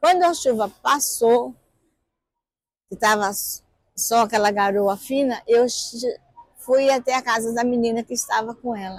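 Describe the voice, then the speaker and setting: A woman's fairly high-pitched voice at a fairly slow pace, with long, frequent pauses and ordinary pitch variation. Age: 60s. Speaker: mother of a missing child, activist. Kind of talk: documentary interview testimony.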